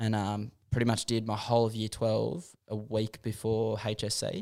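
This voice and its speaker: On a very clean recording with a silent background, a man speaks at medium pitch with an Australian accent. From Western Sydney, Australia. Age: 20s. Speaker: pro scooter rider. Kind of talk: casual chat.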